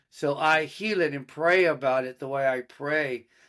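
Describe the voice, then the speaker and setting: A man with an American accent, fairly slow and fairly even in intonation, on a very clean recording with a silent background. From Austin, Texas. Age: 60s. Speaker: horse trainer and musician. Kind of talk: interview. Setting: studio.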